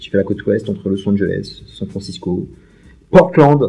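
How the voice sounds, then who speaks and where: A man's somewhat breathy voice sits fairly low in pitch. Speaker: YouTuber, film and series fan. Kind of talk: casual Q&A monologue. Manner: very fast speech; energetic, voluble.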